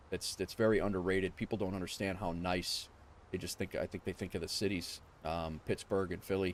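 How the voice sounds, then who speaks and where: In a New York accent, a man speaks with a very deep, low pitch. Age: 40s. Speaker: flight sim streamer. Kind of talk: casual livestream chat. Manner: casual, chatty.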